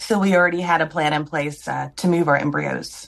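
At a moderate pace, a woman with an American accent uses an ordinary speaking voice, fairly low in pitch, with fairly even intonation. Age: 40s. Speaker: IVF patient. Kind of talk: recorded interview.

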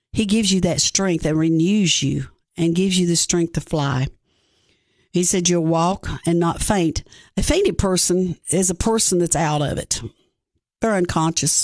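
With an Appalachian Tennessee accent, a woman talks at a moderate pace and fairly low pitch with fairly even intonation over a quiet background. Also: very even loudness. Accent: Southern US (Appalachian Tennessee). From East Tennessee (Greene County). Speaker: pastor. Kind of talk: sermon-style devotional; radio interview.

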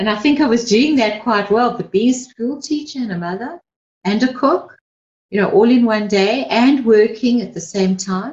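Her pitch fairly high, a woman talks in a normal speaking voice at a moderate pace with ordinary pitch variation. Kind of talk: pep talk. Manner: warm, encouraging, earnest; direct and reassuring, urging listeners on.

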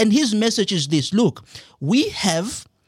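On a very clean, silent-background recording, a man's somewhat breathy voice makes very wide pitch swings. He talks at a moderate pace, the sound dry and close with no echo. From South Africa, rural KwaZulu-Natal. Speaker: author and political commentator. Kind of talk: radio interview. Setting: studio.

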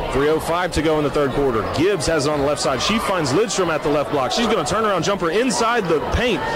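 The speech has hardly any pauses and very even loudness. Noticeable background noise runs beneath it. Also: man, fairly high pitch for a man, lively intonation, fairly quick pace. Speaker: radio play-by-play broadcaster. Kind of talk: live sports commentary. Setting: courtside broadcast at a high school gym. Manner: fast, fluent play-by-play with rapid call of passes and shots.

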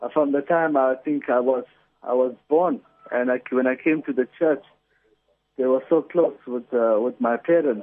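This man has an unremarkable speaking voice. He talks at a medium pitch and a moderate pace. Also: fairly even intonation. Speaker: birthday celebrant. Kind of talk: casual chat. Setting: phone call. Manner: jovial.

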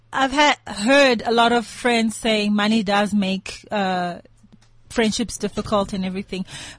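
The somewhat breathy voice moves at a fairly slow pace with fairly even intonation over a quiet background. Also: woman, fairly high pitch for a woman. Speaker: friend guest on show. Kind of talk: casual chat. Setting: studio. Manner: quiet, reserved.

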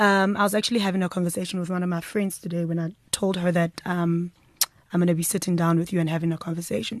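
Her pitch sits fairly low for a woman. She talks at a very fast pace against a quiet background. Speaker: podcast host. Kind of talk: casual interview chat. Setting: studio. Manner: warm, enthusiastic.

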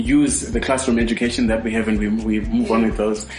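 Music plays in the background as a man speaks. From Zimbabwe. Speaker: radio host. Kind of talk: radio talk show interview. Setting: studio.

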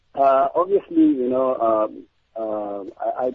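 This man speaks at a very slow pace with ordinary pitch variation. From South Africa, Johannesburg. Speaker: musician. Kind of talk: radio interview. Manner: halting.

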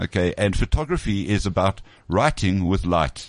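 A plain, everyday voice from a man, fairly low in pitch, at a moderate pace, dry and close with no echo against a quiet background. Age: 50s. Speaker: photographer. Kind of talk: casual chat. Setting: studio.

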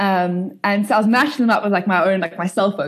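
Here a woman talks at a medium pitch with ordinary pitch variation. The background is quiet. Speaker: startup founder and CEO. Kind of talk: casual interview conversation. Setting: video call. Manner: fast talker; animated, chatty.

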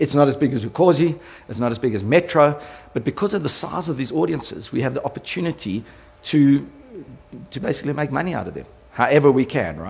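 A man with a South African accent and a fairly high pitch talks at a very fast pace with lively intonation and vocal fry, broken by long, frequent pauses. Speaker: radio company executive. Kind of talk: conference talk. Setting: stage with audience. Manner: animated.

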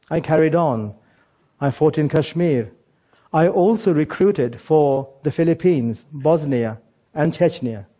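Against a quiet background, a man talks at a fairly slow pace in a fairly high voice. His tone is dark and mellow, and his loudness stays very even. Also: ordinary pitch variation. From England. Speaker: former jihadist turned speaker. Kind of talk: prepared talk.

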